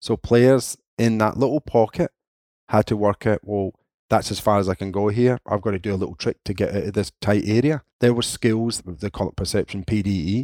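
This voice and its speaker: A man with a Scottish accent speaks at a fairly low pitch in a dark, mellow tone. The sound is dry and close with no echo, on a very clean recording with a silent background. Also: ordinary pitch variation, moderate pace. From Scotland, Linwood (Renfrewshire). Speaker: football coaching director. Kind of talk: interview.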